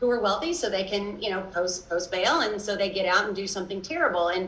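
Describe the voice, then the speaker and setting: Fairly quick speech from a woman in a Kentucky accent, medium in pitch, against noticeable background noise. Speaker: lawyer and advocacy group director. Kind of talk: interview. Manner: many fillers and restarts.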